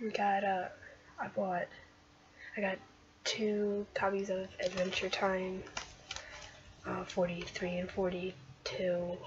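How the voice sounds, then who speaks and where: The voice is quiet and very slow, broken by long, frequent pauses over noticeable background noise. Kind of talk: casual unboxing talk to camera.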